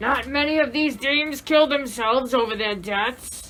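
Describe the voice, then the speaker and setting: A put-on character voice moves at a moderate pace over clear background noise. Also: woman, high pitch for a woman. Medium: audio drama. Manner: cynical, slangy.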